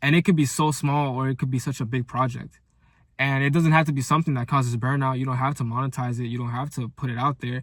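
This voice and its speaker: A man's animated, medium-pitched voice at a very fast pace. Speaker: content creator. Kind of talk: motivational video diary monologue. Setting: talking to camera. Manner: stuttering, many fillers and repeats; casual, animated.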